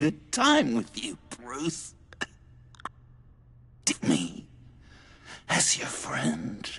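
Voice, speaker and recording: Using a put-on character voice, a man speaks very slowly at a medium pitch, leaving long, frequent pauses. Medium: short film. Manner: stammering, erratic.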